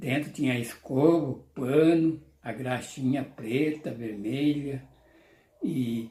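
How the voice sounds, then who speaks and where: A man speaks at a very slow pace in a medium-pitched, somewhat breathy voice with a dark, mellow tone and ordinary pitch variation. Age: 70s. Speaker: YouTuber. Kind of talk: nostalgic casual monologue to camera.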